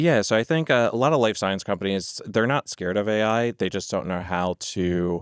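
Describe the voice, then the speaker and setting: Speaking at a moderate pace in a normal speaking voice, a man with an American accent has a fairly low pitch and ordinary pitch variation on a very clean recording with a silent background. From United States. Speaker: healthcare language services executive. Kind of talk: podcast interview. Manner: frequent filler words (um).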